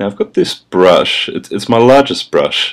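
A man speaks at a fairly quick pace with an Australian accent. Noticeable background noise runs behind him. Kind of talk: comedic makeup tutorial voice-over.

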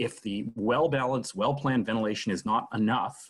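A man speaks at a fairly quick pace. His voice is somewhat breathy. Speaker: webinar host. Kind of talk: prepared talk on a video call. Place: home room. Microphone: video call.

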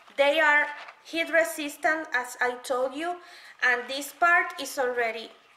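A woman speaks at a slow pace in a bright, sharp tone, with ordinary pitch variation and audible room echo.

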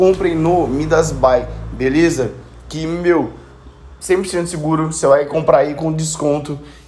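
A man with a Brazilian accent talks at a fairly high pitch with ordinary variation. There is audible room echo and noticeable background noise. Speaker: gaming youtuber. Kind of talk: tutorial.

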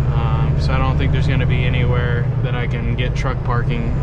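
A man talks at a moderate speed while loud noise fills the background. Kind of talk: casual vlog chat. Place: car.

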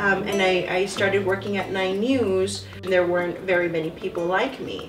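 Over clear background music, a woman at a medium pitch keeps a moderate pace with hardly any pauses. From Texas, Mexican-American. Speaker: TV meteorologist. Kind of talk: interview answer. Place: home room.

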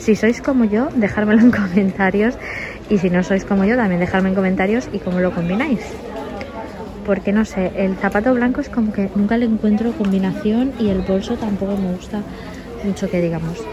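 With crowd noise behind her, a woman talks at a fairly quick pace. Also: medium pitch for a woman. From Spain. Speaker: fashion vlogger. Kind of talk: shopping haul vlog. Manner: animated. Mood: enthusiastic, upbeat. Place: shop. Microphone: phone near.

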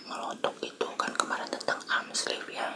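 A soft-spoken man whispers over noticeable background noise. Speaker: eating vlogger. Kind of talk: casual vlog chat. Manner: soft whispered ASMR talk. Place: home room. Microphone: phone near.

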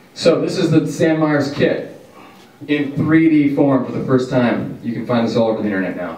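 Speaking with an American accent, a man is heard amid noticeable background noise and audible room echo. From Washington, US. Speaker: podcast co-host. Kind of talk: casual chat.

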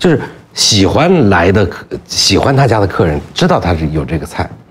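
A man speaks over light background noise. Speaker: documentary filmmaker. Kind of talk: casual chat. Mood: relaxed, amused storytelling. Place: studio. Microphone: lapel.

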